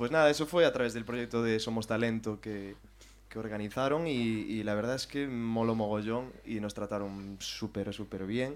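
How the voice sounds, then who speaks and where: A man uses a normal speaking voice, pitched at a medium level, with ordinary pitch variation and a moderate pace. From Galicia, Spain (Carballiño, Ourense). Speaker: drummer in a synthpop band. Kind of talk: casual interview chat. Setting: live show with audience in a café.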